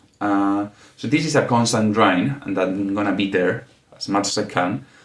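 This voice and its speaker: On a very clean recording with a silent background, a man with a non-native accent speaks at a moderate pace. His fairly low voice keeps a fairly even intonation. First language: not English. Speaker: podcast host. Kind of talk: solo podcast monologue. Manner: halting, with fillers.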